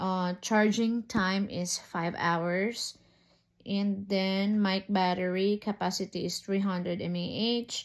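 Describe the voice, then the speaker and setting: A woman talks at a very slow pace in a monotone, flat intonation with a medium pitch. The recording is very clean and the background silent. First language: Filipino (Tagalog/Cebuano). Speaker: teacher and product reviewer. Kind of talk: unboxing review. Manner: casual, code-switching.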